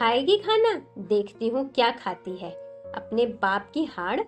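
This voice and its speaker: A woman's fairly high-pitched voice comes through with music playing in the background. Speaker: story narrator. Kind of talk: Hindi story narration / audiobook.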